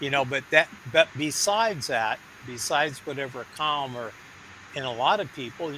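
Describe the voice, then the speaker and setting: A man with a northern Michigan accent, medium-pitched, at a moderate pace, over noticeable background noise. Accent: Midwestern, North Michigan. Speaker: community member sharing experience. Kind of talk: casual chat. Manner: halting.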